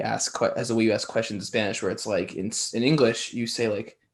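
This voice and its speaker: At a fairly quick pace, a man talks at medium pitch against a quiet background. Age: 20s. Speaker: podcast host. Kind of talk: casual interview chat.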